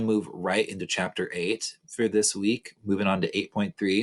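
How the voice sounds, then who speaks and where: Using a plain, everyday voice, a man speaks at a fairly low pitch and moderate pace. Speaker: algebra teacher giving an online lesson. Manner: casual, chatty, joking.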